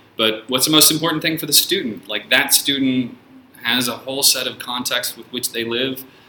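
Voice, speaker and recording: Noticeable background noise sits behind this man. He talks at a fairly quick pace and medium pitch with fairly even intonation. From San Francisco, US. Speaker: teacher. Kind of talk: casual chat. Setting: studio.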